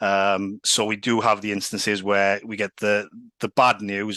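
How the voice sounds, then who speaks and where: Speaking in a Welsh Valleys accent, a man has a fairly low pitch and a bright, sharp tone in flat, monotone intonation. The sound is dry and close with no echo, over a quiet background. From Wales, Swansea valleys. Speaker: sales executive. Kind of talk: casual interview.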